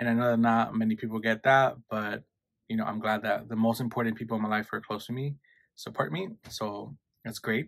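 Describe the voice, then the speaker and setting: A man with a New York accent talks at a fairly quick pace and a medium pitch on a very clean recording with a silent background. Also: fairly even intonation. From New York, Queens. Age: 20s. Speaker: YouTuber. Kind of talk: casual chat.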